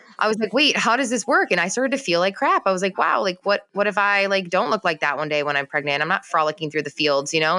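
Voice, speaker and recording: A bright, sharp tone in an American accent comes through at a very fast pace. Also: woman. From US Midwest, Chicago. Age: 30s. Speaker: marketing mentor. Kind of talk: casual interview chat. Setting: sitting on floor, remote call. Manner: animated.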